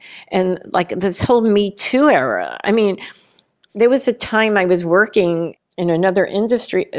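Here a woman talks in an ordinary speaking voice. Her intonation is lively and her pace moderate. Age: 60s. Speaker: conceptual artist. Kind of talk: interview conversation.

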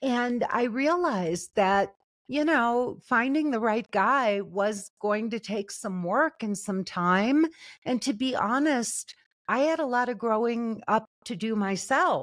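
A woman with a fairly high pitch and lively intonation at a very slow pace, in a very clean recording with a silent background. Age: 60s. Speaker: love and relationship coach. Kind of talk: interview.

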